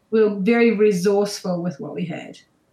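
A woman with a New Zealand accent speaks at a fairly quick pace in a medium pitch. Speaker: show jumper and horse trainer. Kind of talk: casual interview chat.

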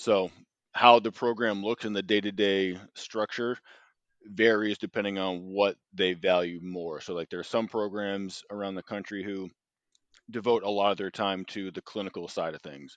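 Recorded dry and close with no echo against a quiet background, a man with an American accent and an unremarkable speaking voice talks at a moderate pace, his fairly low pitch following a fairly even intonation amid big swings in loudness. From Boston, Massachusetts. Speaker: sports dietitian. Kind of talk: interview.

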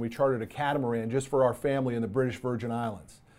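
A man at a fairly quick pace, medium pitch and ordinary pitch variation, on a very clean recording with a silent background. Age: 50s. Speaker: podcast host and author. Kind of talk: solo podcast monologue. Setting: studio. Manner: animated.

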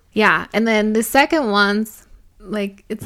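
A woman talks at a moderate pace with a normal speaking voice and medium pitch. The recording is very clean, with a silent background. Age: 20s. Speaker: podcast co-host. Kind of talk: casual chat.

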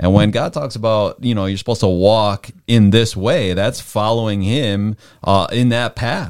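On a very clean recording with a silent background, a man uses an ordinary speaking voice, fairly low in pitch, with ordinary pitch variation. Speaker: missionary. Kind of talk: panel discussion on Bible topics.

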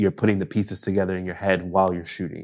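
A man with a very deep, low voice and an American accent, in a very clean recording with a silent background. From Buffalo, New York. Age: 30s. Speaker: director and photographer. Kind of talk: casual interview chat.

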